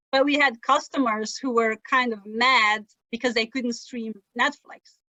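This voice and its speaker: With a Flemish accent, a woman at a high pitch speaks at a moderate pace with fairly even intonation. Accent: Flemish-Belgian accent in English. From Belgium (Flemish, Dutch-speaking). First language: Dutch. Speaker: sailor and travel writer. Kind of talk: interview conversation. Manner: conversational, with false starts and fillers.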